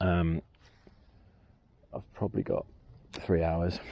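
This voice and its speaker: A soft-spoken man's very deep, low voice with a dark, mellow tone and a British accent. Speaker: angler vlogger. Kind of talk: casual vlog talk to camera. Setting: outdoors by a canal at first light. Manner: soft-spoken, quiet; hesitant with many ums.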